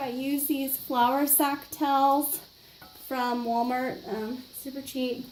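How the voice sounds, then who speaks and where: The speaker is a woman. Her voice is high-pitched. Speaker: art instructor. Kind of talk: tutorial. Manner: hesitant with many fillers.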